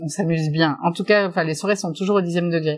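Her pitch is very deep and low, and this woman's voice shows ordinary pitch variation. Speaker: shop owner. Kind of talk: interview.

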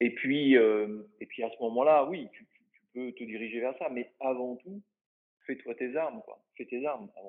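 A man at medium pitch speaks at a fairly slow pace. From Brittany, France. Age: 50s. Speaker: bodybuilder and naturopath. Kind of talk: interview conversation.

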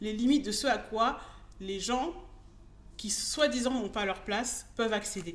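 Fairly slow and fairly high-pitched, a woman's voice moves with ordinary pitch variation. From France, Bordeaux. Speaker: Instagram business coach. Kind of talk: interview. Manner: hesitant, many fillers.

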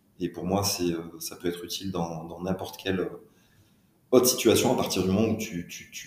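Fairly even intonation from a man pitched very deep and low, with audible room echo. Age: 40s. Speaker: HR entrepreneur. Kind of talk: interview. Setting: on location at a business village.

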